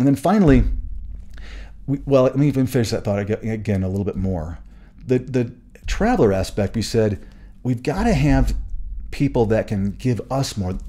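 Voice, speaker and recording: Medium in pitch, a man's voice carries vocal fry and lively intonation. Long pauses come often. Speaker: podcast host. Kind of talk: solo podcast talk. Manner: fast; halting, many restarts.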